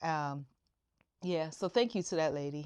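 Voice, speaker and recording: In an ordinary speaking voice, a woman talks with ordinary pitch variation. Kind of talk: casual talk to camera.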